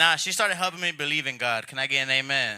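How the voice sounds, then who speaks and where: A man speaks with fairly even intonation. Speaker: stand-up comedian. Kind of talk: stand-up. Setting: stage with audience.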